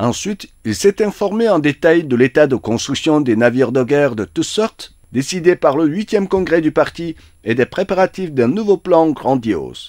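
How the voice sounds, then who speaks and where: In a plain, everyday voice with lively intonation, the speaker goes at a moderate pace with hardly any pauses, the sound dry and close with no echo. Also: man, fairly high pitch for a man. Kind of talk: formal state-media newsreading, scripted dispatch read aloud. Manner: formal, solemn, steady and dry, with long official titles.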